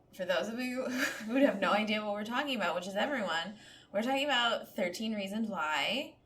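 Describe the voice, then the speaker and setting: The speech moves at a fairly quick pace with lively intonation, with audible room echo and noticeable background noise. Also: woman, fairly high pitch for a woman. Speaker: podcast co-host. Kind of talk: casual chat. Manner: slightly slurred speech.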